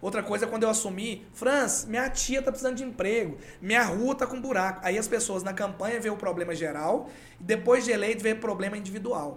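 A man talks at a very fast pace in a high voice. His pitch varies in an ordinary way, and room echo is audible. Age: 40s. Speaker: podcast guest, former election campaign worker. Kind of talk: casual interview chat. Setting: studio.

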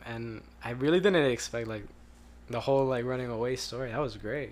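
There is audible room echo as a man with a medium pitch speaks at a fairly quick pace with ordinary pitch variation. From Colombian family background. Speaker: podcast host. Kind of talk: casual chat.

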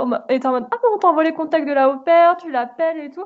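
A woman's voice with ordinary pitch variation. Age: 20s. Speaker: podcast host, aspiring illustrator. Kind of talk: casual chat.

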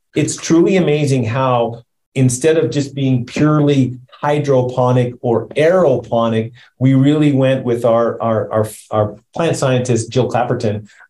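Somewhat breathy and dark, mellow in tone, a man with a Canadian accent talks fairly slowly at medium pitch with very even loudness. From Canada. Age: 60s. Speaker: company CEO, founder. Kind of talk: interview.

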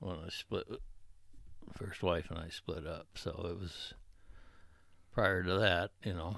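Over a very clean recording with a silent background, a man with an American accent and a very deep, low pitch speaks at a very slow pace, with long, frequent pauses and fairly even intonation. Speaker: grandfather guest. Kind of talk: elder life story, reminiscing about small-town youth.

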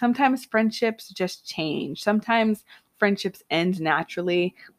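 Speaking in a normal speaking voice, a woman talks at a medium pitch and a moderate pace. The sound is dry and close with no echo, and the recording is very clean against a silent background. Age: 20s. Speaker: podcast host. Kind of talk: solo casual monologue. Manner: laughs often.

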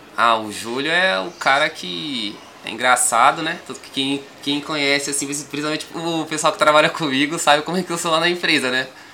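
A man with a fairly high voice and ordinary pitch movement speaks at a moderate pace over noticeable background noise. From São Paulo, Grajaú. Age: 20s. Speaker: rapper. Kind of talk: casual interview.

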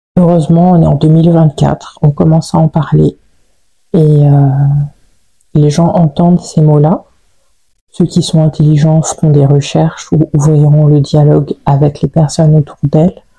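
The voice is somewhat breathy with a dark, mellow tone, monotone, flat intonation and very even loudness, moving at a fairly slow pace with long, frequent pauses in a dry, close sound with no echo. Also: woman, very deep, low pitch for a woman. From Paris region, France. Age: 30s. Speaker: podcast host. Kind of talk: solo personal podcast monologue.

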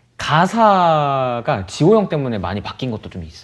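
A man speaks with very wide pitch swings. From South Korea, Pyeongtaek (Songtan). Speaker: R&B singer-songwriter. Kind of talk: casual chat.

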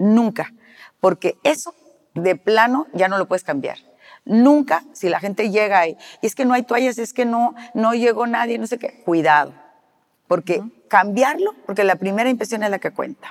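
A woman with an unremarkable speaking voice talks at a moderate pace and a fairly high pitch with lively intonation, the sound dry and close with no echo. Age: 60s. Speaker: celebrity hair stylist. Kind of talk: interview conversation.

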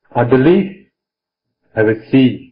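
The man's voice comes across as somewhat breathy. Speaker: meditation teacher monk. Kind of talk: dharma talk with interpreter.

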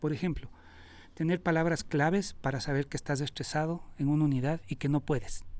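With fairly even intonation and very even loudness, a man speaks fairly quickly in a fairly high pitch. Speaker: rescue worker and emergency operator. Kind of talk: interview. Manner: halting, with frequent repetitions.

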